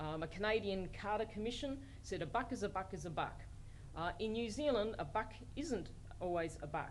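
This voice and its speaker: With an Australian accent, a woman speaks at medium pitch and a fairly quick pace, with lively intonation, vocal fry and audible room echo. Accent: Australian, noticed by colleagues. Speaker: law professor. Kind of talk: lecture.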